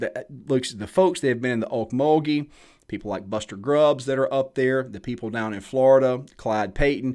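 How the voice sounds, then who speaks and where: A man in a Southern US accent with ordinary pitch variation, on a very clean recording with a silent background. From US South. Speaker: blacksmith. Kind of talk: live stream Q&A talk. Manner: casual, conversational.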